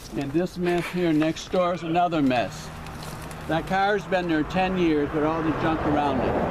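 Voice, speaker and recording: A man with an American accent, a fairly high pitch and fairly even intonation, amid noticeable background noise. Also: moderate pace. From New York. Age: 70s. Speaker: local resident. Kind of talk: complaint on camera. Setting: outdoors.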